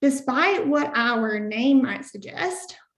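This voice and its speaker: The voice carries a Southern Appalachian accent with lively intonation. The pace is fairly slow. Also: woman. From US South, rural Southern Appalachia. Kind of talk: webinar presentation.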